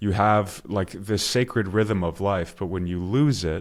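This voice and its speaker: Here is a man with an American accent and a plain, everyday voice, pitched fairly low. He speaks at a moderate pace in a very clean recording with a silent background. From US, Maryland. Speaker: podcast host. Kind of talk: conversational interview.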